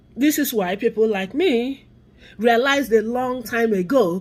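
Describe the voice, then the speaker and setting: Speaking at a fairly slow pace, a woman with an American accent uses a fairly high pitch, an animated tone and lively intonation. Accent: Nigerian accent, noticeable to US listeners. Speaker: vlogger on immigrant and race issues. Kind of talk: opinion vlog monologue.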